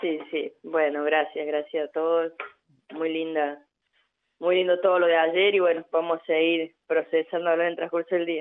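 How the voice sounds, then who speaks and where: A woman's fairly low-pitched voice at a fairly slow pace, monotone and flat in intonation. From Argentina, Córdoba. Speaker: women's football coach. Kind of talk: radio interview.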